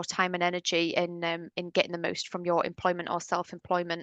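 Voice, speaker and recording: A woman speaks with a British accent. The sound is dry and close with no echo, over a quiet background. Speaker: webinar presenter for dental hygienists. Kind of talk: webinar presentation. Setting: online webinar. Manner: fast.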